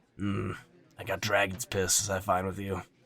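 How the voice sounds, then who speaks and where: Putting on a character voice, a man speaks at a moderate pace in a very deep, low, raspy tone with monotone, flat intonation. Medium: actual play. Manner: blunt, casual, slangy.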